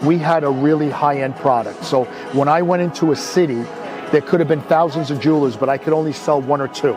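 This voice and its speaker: Over music in the background and audible room echo, a man with an American accent speaks very fast in a fairly high pitch with fairly even intonation. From New York (Brooklyn). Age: 60s. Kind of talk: interview, life story. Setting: outdoors, Beverly Hills.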